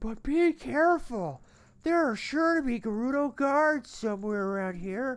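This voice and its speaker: A put-on character voice comes through at a fairly slow pace over a quiet background. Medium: game stream.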